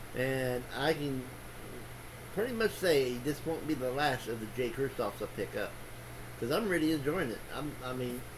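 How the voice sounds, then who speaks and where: A man speaks at a moderate pace with a medium pitch and ordinary pitch variation, leaving long, frequent pauses amid audible room echo. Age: 60s. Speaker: booktuber, book reviewer. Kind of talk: casual vlog monologue. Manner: halting, many fillers and restarts.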